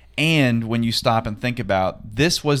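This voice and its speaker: A man talks in a plain, everyday voice. The pitch varies in an ordinary way. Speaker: podcast host. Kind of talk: casual interview chat.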